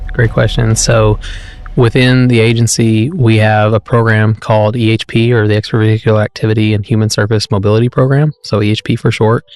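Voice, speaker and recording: With a plain, everyday voice, a man speaks at a fairly quick pace and medium pitch, keeping very even loudness and fairly even intonation in a dry, close sound with no echo. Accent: American. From US South, rural Arkansas. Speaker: space agency project manager. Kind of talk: interview.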